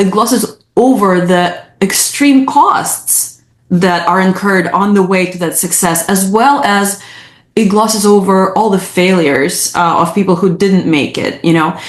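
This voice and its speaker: A woman at medium pitch and a fairly slow pace, with ordinary pitch variation and audible room echo. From Ukraine. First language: Russian or Ukrainian. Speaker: psychologist. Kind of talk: interview. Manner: halting.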